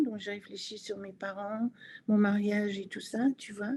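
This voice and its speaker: A woman talks at a fairly slow pace with a dark, mellow tone. Her somewhat breathy voice stays monotone and flat. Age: 80s+. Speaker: author and network marketing leader. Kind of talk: interview answer.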